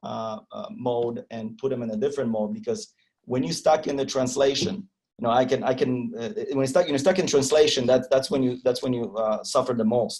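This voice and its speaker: A man with a Polish accent talks at a fairly quick pace with lively intonation. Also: medium pitch for a man. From Poland. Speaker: agile trainer. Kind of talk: interview. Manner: halting, many repetitions and fillers.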